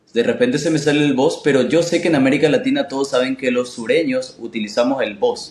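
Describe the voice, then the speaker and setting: Here a man is speaking. His intonation is lively. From Paraguay. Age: 20s. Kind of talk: casual interview chat.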